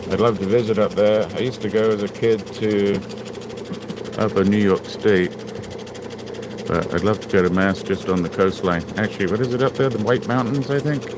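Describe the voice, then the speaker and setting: Against noticeable background noise, a man with a fairly low pitch speaks at a moderate pace with fairly even intonation, very even loudness and long, frequent pauses. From England. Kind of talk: casual livestream chat while working.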